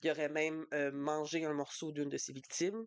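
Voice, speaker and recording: A woman with a Quebec accent speaks in a very deep, low voice. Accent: Québécois French. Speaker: book youtuber. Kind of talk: casual book review vlog. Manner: fast; animated.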